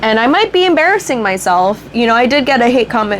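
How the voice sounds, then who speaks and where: A woman with a fairly high pitch speaks at a fairly quick pace amid noticeable background noise. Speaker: beauty vlogger. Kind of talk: casual chat. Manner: stuttering at times.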